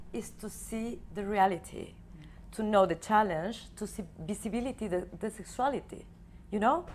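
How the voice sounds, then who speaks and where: With vocal fry in her voice, a woman talks at a moderate pace and a fairly high pitch. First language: Spanish. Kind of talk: TV panel interview. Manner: hesitant, searching for words.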